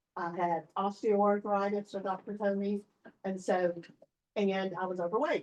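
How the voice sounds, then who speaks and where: Here is a woman with an ordinary speaking voice. Her pitch is medium and her pace moderate. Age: 60s. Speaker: customer testimonial speaker. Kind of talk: testimony.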